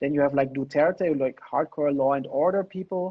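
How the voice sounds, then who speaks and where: A man with a non-native accent talks at a fairly quick pace with ordinary pitch variation. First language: not English. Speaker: political theory lecturer. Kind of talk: lecture. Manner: fast.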